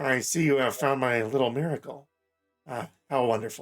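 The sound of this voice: A man does a put-on character voice that is quiet, raspy and nasal, at a medium pitch with fairly even intonation. He keeps a moderate pace while music plays in the background.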